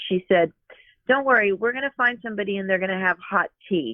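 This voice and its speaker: Using a normal speaking voice, a woman talks at a fairly quick pace at medium pitch with ordinary pitch variation. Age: 60s. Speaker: author and therapist. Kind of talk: casual chat. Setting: studio.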